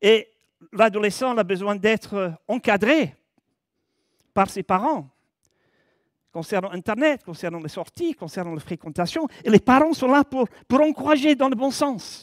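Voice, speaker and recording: Very wide pitch swings mark the fairly slow speech, which has long, frequent pauses and a dry, close sound with no echo on a very clean recording with a silent background. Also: man, high pitch for a man. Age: 70s. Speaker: preacher. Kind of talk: sermon. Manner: conversational.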